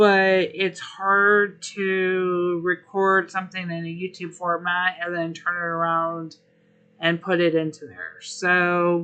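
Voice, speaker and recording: Very slow, monotone, flat speech from a woman at a fairly low pitch. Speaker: gaming streamer. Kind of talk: live stream chat.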